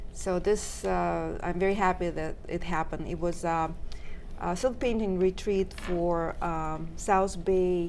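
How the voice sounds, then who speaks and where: Speaking with audible room echo is a woman. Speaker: silk painting artist. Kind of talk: talk show interview. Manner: hesitant, many fillers.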